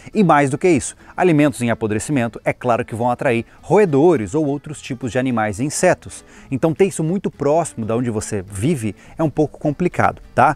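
Faint music plays in the background of this dry, echo-free recording as the speech moves at a fairly quick pace. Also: man. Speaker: channel host. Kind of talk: tutorial. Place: open country.

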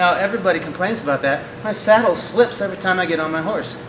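Through noticeable background noise, a man with a high pitch talks at a fairly quick pace with ordinary pitch variation. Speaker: horse trainer. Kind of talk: tutorial. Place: hall. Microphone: camera far.

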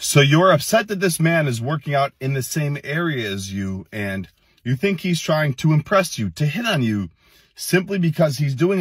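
This man's voice is somewhat breathy, at a moderate pace. The sound is dry with no echo, and the background is quiet. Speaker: fitness content creator. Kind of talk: reaction commentary. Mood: irritated, scolding. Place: car. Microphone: phone near.

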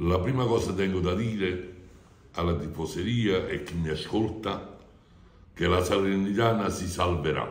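A man's very deep, low voice, somewhat breathy and animated, with ordinary pitch variation, a moderate pace, long and frequent pauses, and audible room echo. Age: 70s. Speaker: football fan club president. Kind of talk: interview. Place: office. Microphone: phone near.

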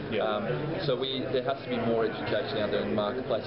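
Loud noise fills the background as a man talks. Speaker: company sales director. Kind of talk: interview answer. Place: hall. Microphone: phone near.

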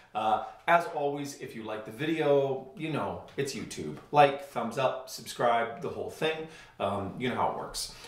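Man speaking with ordinary pitch variation, room echo audible. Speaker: cello teacher. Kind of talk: tutorial. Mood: relaxed, friendly. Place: home room. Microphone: camera far.

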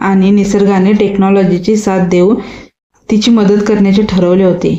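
Plain reading aloud with a quiet background

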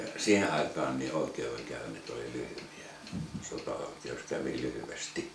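In a room with audible echo and noticeable background noise, a man speaks at a fairly slow pace. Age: 70s. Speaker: war veteran. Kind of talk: casual chat; reminiscing storytelling. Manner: halting. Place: home room.

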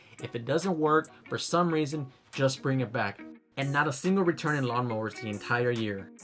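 Moderate pace from a man, faint background music underneath. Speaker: reseller vlogger. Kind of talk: casual vlog chat. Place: home room. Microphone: studio mic.

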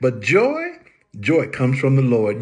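A man talks at a fairly slow pace, his voice somewhat breathy. The background is quiet. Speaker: preacher. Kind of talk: short sermon-style encouragement. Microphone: phone near.

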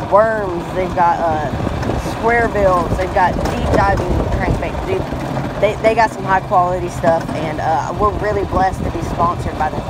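Fairly slow speech with a dry sound and no echo, amid loud background noise. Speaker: fishing channel vlogger. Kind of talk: casual vlog chat. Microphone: phone near.

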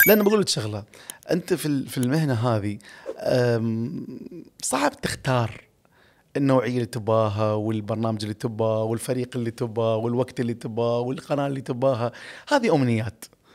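A man speaks at a moderate pace and a medium pitch, with ordinary pitch variation over a quiet background. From UAE, Ras Al Khaimah; UAE. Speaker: radio and TV presenter; radio, TV presenter. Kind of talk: podcast interview. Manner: expressive, exaggerated tone. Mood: warm, reminiscing. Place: studio. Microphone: studio mic.

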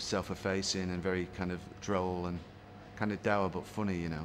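Noticeable background noise runs beneath a man's speech. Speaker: interviewee. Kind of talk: interview answer. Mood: warm, fond reminiscence. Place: home room.

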